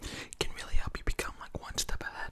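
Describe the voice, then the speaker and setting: The speaker is a man, and he whispers. His pace stays moderate. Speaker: ASMR YouTuber. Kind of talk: casual talk to camera. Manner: casual, rambling, chatty. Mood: amused, slightly frustrated story. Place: home room. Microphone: studio mic.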